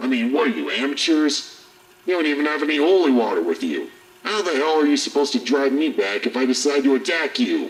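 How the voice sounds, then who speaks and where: A man speaks in a put-on character voice. His pitch is fairly high and his pace fairly quick. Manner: aggressive, taunting, profane.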